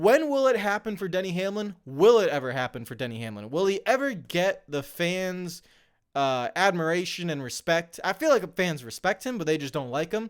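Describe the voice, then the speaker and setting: On a very clean recording with a silent background, a man speaks loudly at a moderate pace, his high voice swinging very widely in pitch. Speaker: NASCAR YouTuber. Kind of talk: commentary monologue. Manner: louder and brash on mic; animated.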